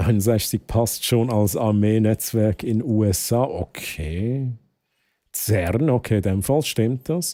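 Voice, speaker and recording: A man's dark, mellow voice at a medium pitch, very slow, with ordinary pitch variation and very even loudness, on a very clean recording with a silent background. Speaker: streamer. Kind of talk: live stream chat.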